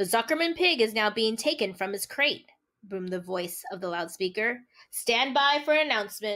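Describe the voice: Someone reads aloud plainly with lively intonation while the background stays quiet.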